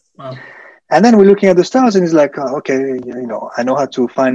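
A man with a French accent, very fast, with lively intonation. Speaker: hotel sales professional. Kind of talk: casual interview chat.

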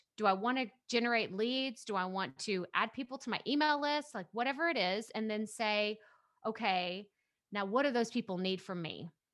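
Using an East Texas accent, a woman talks at a moderate pace in a fairly high pitch, with ordinary pitch variation. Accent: East Texas Southern US. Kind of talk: casual interview chat. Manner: upbeat, energetic.

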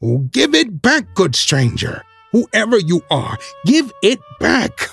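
At a moderate pace, a man performs a shrill, put-on character voice. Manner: shrill, pleading, feigning ignorance.

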